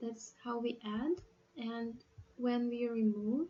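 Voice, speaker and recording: A woman speaks very slowly in a fairly high, somewhat breathy voice with a dark, mellow tone. Her intonation stays monotone and flat. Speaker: programming tutor. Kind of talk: tutorial. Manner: halting.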